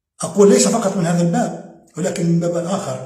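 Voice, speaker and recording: Audible room echo surrounds a man's voice. He speaks at a fairly quick pace with fairly even intonation. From Algeria, Oran. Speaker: political commentator. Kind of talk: video monologue. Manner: halting, repeats words.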